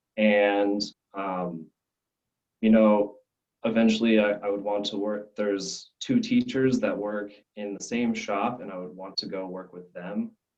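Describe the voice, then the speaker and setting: A man at a fairly slow pace and fairly low pitch, in a monotone, flat intonation. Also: big swings in loudness. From Arizona, US (Scottsdale), Belgian family. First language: French. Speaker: glassblowing student. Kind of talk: interview. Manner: halting, many restarts.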